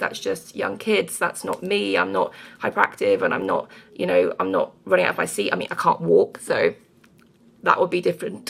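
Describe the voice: A woman talks at a moderate pace in a fairly low voice with fairly even intonation. A slightly husky edge and vocal fry color her sound.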